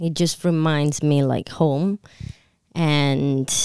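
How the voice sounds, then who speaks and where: A woman talks with an Italian accent. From Italy. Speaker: restaurant co-owner. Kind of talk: casual chat. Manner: halting.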